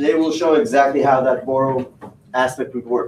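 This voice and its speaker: A man talking at a fairly quick pace. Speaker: company presenter. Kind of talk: presentation. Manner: fast.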